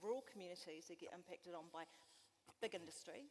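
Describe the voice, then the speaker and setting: In a New Zealand accent, a woman talks at a fairly quick pace. Her voice is medium in pitch, with lively intonation. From West Coast, South Island, New Zealand. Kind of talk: panel discussion. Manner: hesitant, many fillers.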